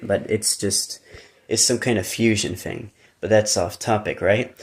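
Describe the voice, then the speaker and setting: A man's fairly low voice with an American accent, fairly slow and somewhat breathy, in a flat monotone. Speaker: YouTuber. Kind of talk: casual monologue. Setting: live stream. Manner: conversational, informal.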